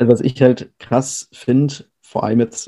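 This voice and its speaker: A man's dark, mellow voice at medium pitch, flat and monotone in delivery. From Bavaria, Regensburg. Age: 20s. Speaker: calisthenics athlete. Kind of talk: casual chat.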